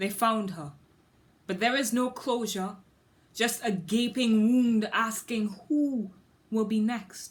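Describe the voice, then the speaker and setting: A somewhat breathy woman talks at a very slow pace. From Trinidad and Tobago. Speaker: spoken word poet. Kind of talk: scripted talk; poetry performance.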